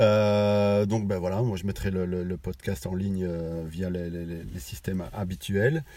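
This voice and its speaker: At a fairly slow pace and with hardly any pauses, a man speaks with a very deep, low pitch, ordinary pitch variation and a dark, mellow tone. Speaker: podcast host. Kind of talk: casual chat. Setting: in a car. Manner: halting.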